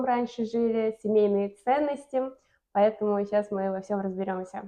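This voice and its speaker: A woman talks at a moderate pace in a fairly high pitch. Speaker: YouTube blogger. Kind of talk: family interview.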